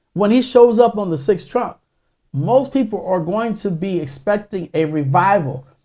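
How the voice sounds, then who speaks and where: Moderately paced, a man speaks in a dark, mellow tone at a high pitch. His pitch swings very widely. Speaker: pastor. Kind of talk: sermon. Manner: halting.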